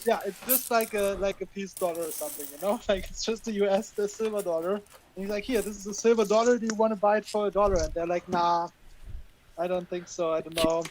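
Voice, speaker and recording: A man's high-pitched voice with a German accent, very fast and fairly even in intonation, over noticeable background noise. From western Germany, Cologne. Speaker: coin roll hunter. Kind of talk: live stream chat.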